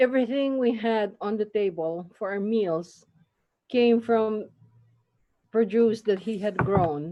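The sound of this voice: At a slow pace, a woman speaks with a medium pitch and ordinary pitch variation.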